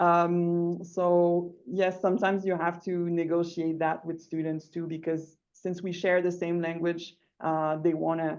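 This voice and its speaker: A woman with a Quebec accent speaks at a fairly slow pace in a fairly low pitch, her intonation monotone and flat. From Quebec, Rimouski. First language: French. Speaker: English teacher. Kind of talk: online workshop discussion.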